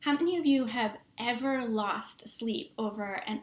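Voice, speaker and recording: In a Boston accent, a woman speaks at a fairly slow pace with lively intonation. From Massachusetts, US. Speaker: tech strategist, engineer. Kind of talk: online summit presentation, sales pitch. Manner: animated.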